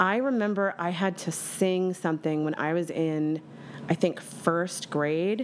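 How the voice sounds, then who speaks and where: A woman speaks with a fairly low pitch and ordinary pitch variation against noticeable background noise. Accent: American. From Bucks County, Pennsylvania. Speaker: cabaret singer. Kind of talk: casual chat.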